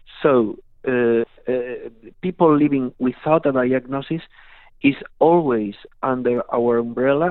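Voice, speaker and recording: This speaker talks at a very slow pace in a Spanish accent. The intonation stays fairly even. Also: man. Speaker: patient advocacy federation board member. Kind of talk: radio interview. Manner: halting.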